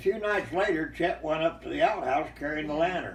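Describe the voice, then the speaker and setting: A man talks at a medium speed while clear background noise is heard. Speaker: storyteller, former ranch hand. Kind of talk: oral storytelling. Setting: home, impromptu recording.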